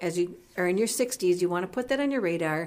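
A woman with a plain, everyday voice speaks in a fairly low pitch with lively intonation. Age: 50s. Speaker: radio co-host, senior living representative. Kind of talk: radio interview.

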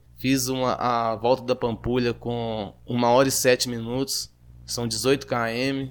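Very slowly and in a flat monotone, a man talks at a medium pitch. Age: 30s. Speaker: amateur runner and welder. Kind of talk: interview. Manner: halting, with fillers.

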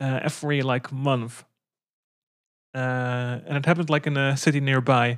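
With a Dutch accent, a woman speaks at a moderate pace in a very deep, low pitch, her intonation monotone and flat, with long, frequent pauses. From Netherlands. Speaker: podcast co-host. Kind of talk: casual chat. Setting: remote call.

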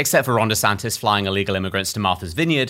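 A man speaks with a British accent in a bright, sharp tone. The recording is very clean, with a silent background.

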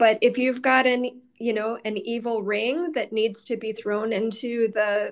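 A woman speaks at a fairly slow pace in an ordinary speaking voice, her fairly high pitch held to a fairly even intonation. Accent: American. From Michigan, Detroit area. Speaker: osteopathic physician. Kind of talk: interview.

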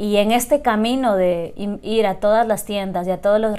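Her voice dark and mellow, a woman speaks at medium pitch with fairly even intonation. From Ecuador, Loja. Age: 30s. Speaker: coffee entrepreneur. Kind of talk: interview.

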